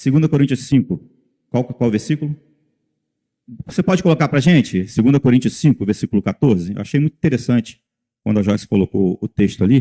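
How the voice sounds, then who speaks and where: A man's dark, mellow voice at medium pitch, fairly quick pace, lively intonation, long, frequent pauses, and a dry, close sound with no echo. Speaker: lay preacher. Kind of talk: sermon.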